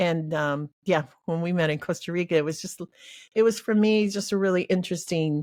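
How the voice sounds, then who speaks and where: A woman's fairly low-pitched, a plain, everyday voice, fairly quick and fairly even in intonation, on a very clean recording with a silent background. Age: 60s. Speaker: therapist and mental health coach. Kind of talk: interview conversation.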